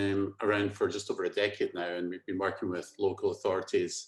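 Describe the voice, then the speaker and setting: A man with a Scottish accent at a fairly quick pace. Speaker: company managing director. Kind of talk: webinar presentation.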